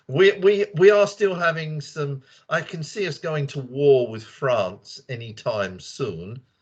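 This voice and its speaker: A man speaks with a British accent in a fairly high voice. His pitch swings very widely, and his pace is very slow. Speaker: English teacher. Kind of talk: casual group discussion. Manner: animated.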